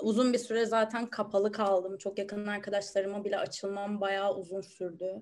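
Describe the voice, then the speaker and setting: Her intonation flat and monotone, a woman talks with hardly any pauses. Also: medium pitch for a woman, moderate pace. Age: 20s. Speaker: university student. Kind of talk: interview.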